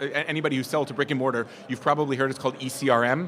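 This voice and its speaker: This man talks at a very fast pace in a fairly high pitch. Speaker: business presenter. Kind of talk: presentation to live audience. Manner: animated.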